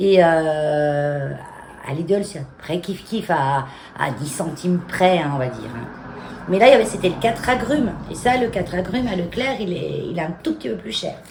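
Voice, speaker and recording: A woman's fairly low voice with very wide pitch swings and big swings in loudness, plus audible room echo and noticeable background noise. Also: moderate pace. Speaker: home and garden vlogger. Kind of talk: casual vlog talk to camera. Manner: hesitant, many fillers.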